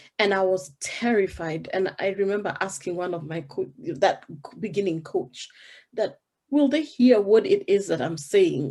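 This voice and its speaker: A woman's dark, mellow voice at medium pitch with a Kenyan accent, lively intonation and a moderate pace. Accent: Kenyan, African. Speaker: business coach. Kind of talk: interview.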